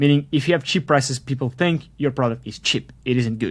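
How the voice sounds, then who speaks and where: This man speaks at a fairly quick pace. His pitch is medium, with ordinary variation. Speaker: SaaS entrepreneur and course instructor. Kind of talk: online course lecture. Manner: fast; casual, filler-heavy.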